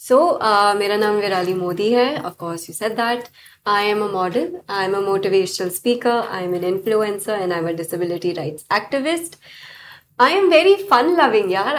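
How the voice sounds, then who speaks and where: Her pitch sits fairly high, and the woman has a plain, everyday voice. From United States. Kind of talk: interview. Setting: studio.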